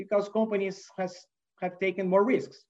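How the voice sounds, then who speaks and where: A man is talking. He has a Brazilian accent. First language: Portuguese. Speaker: manufacturing executive. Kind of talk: interview. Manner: hesitant, many fillers.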